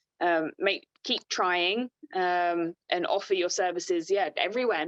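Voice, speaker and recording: With an Australian accent, a woman speaks with ordinary pitch variation in a dry, close recording with no echo and a quiet background. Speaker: motorsport team administrator. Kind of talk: webinar interview. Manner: fast.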